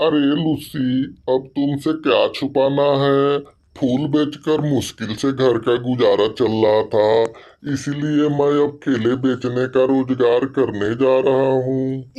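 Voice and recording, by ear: The speaker uses a cartoonish character voice with a low-to-middle pitch. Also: fairly slow pace.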